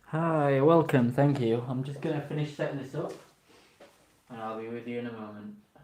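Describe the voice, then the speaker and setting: A man at medium pitch talks at a fairly quick pace, with ordinary pitch variation and big swings in loudness. Audible room echo surrounds the voice. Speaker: toy reviewer live streamer. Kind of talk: live stream review. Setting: live stream.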